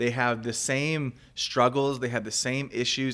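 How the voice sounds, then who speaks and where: The recording is very clean, with a silent background. A man speaks in an ordinary speaking voice at a moderate pace and medium pitch. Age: 30s. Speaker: podcast host. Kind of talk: casual chat.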